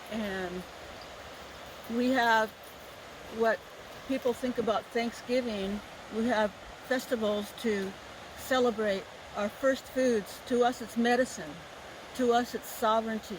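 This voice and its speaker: Over noticeable background noise, a woman speaks with a fairly high pitch and fairly even intonation. Her pace is fairly slow, with long, frequent pauses. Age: 60s. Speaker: Native dancer and activist. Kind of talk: storytelling talk at a festival. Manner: halting, with repeated words.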